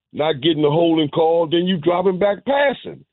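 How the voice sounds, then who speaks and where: The man's pitch is high. He talks at a moderate pace. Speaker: caller. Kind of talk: heated sports talk call. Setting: phone call. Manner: animated, emphatic.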